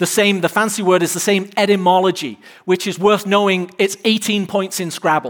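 A man with an English accent speaks at a high pitch with fairly even intonation. The recording is very clean, its background silent. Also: moderate pace. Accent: English, clearly noticeable. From England. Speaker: pastor. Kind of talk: sermon. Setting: church stage with live audience.

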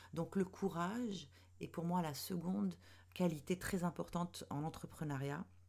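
Vocal fry marks a woman's speech, and her pitch rises and falls in a normal way. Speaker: podcast host, web strategist and mentor for women entrepreneurs. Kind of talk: solo podcast monologue. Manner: hesitant, many fillers.

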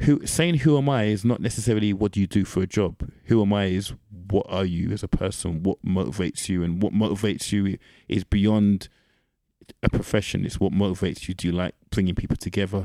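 In a very clean recording with a silent background and dry, close sound with no echo, a man with a London accent speaks in a dark, mellow tone at a fairly low pitch, with ordinary pitch variation and a fairly quick pace. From East London, England. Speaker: podcast guest. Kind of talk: casual chat.

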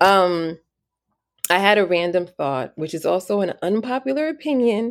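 A woman's medium-pitched voice with very wide pitch swings, in a very clean recording with a silent background. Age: 40s. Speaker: podcast host. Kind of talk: solo casual monologue. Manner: conversational with frequent fillers and laughs.

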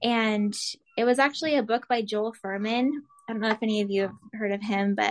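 Against a quiet background, a woman with an American accent talks in a plain, everyday voice, fairly high in pitch with fairly even intonation. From Arizona. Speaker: food blogger and health coach. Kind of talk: casual interview chat.

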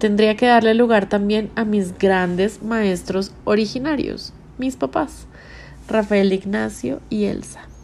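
A woman's dark, mellow tone at a fairly slow pace with ordinary pitch variation. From Colombia, Bogotá. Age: 30s. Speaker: podcast host. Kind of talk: scripted narration. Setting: hotel room.

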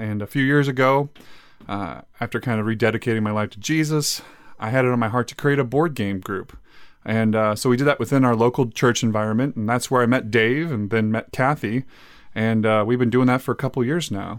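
A man with a plain, everyday voice speaks at a medium pitch and a fairly quick pace, with ordinary pitch variation, in a very clean recording with a silent background. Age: 30s. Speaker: podcast co-host. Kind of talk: casual chat.

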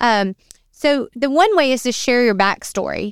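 Very clean recording of a woman, silent background behind her. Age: 30s. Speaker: marketing podcast co-host. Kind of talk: casual chat. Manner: animated.

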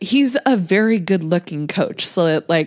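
With an ordinary speaking voice, the speaker delivers lines with lively intonation. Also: woman. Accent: American. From Nebraska, US Midwest. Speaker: podcast co-host, movie reviewer. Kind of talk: casual chat.

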